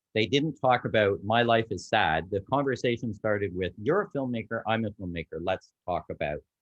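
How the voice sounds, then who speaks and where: A fairly low-pitched man with a Canadian accent and lively intonation. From Canada. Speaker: refugee sponsorship volunteer. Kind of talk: group video call advice talk. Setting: video call. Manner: hesitant, many fillers.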